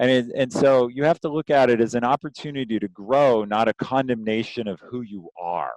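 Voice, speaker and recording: A man with an American accent speaks at a medium pitch and fairly quick pace, with ordinary pitch variation and hardly any pauses, over a quiet background. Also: dry, close sound with no echo. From US Midwest, Ohio. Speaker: former tech executive and leadership coach. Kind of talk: interview. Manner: loud.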